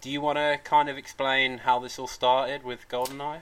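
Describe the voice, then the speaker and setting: A man with a Midlands accent speaks at a medium pitch and a fairly slow pace. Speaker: podcast host. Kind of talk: casual chat.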